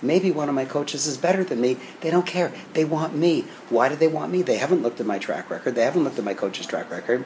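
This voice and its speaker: Very fast speech from a fairly high-pitched man over noticeable background noise. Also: lively intonation. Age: 60s. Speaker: business coach. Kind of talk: interview.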